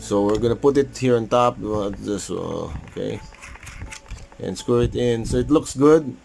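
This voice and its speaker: The speech has long, frequent pauses over noticeable background noise. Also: moderate pace. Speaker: vlogger doing product unboxing. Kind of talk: casual unboxing tutorial.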